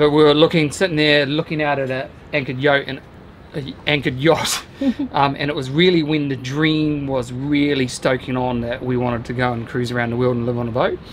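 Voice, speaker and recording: Fairly quick, fairly even-toned speech over light background noise. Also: man. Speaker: vlogger. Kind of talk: casual vlog chat. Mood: relaxed, reflective, happy. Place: boat. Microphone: camera far.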